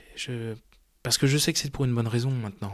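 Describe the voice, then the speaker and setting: Speaking very quickly, a man uses ordinary pitch variation. Behind him the background is silent, and the audio is very clean. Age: 20s. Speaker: adoptee searching for birth mother. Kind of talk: personal testimony.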